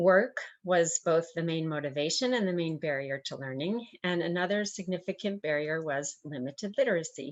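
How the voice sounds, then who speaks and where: A woman's fairly low voice moves with lively intonation over a quiet background. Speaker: nonprofit education director. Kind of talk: presentation. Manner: fast.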